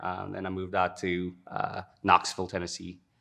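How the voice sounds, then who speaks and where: Here a man talks at a moderate pace. His very deep, low voice has a bright, sharp tone. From South Africa. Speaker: detailing business owner. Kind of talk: interview. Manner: casual, many fillers.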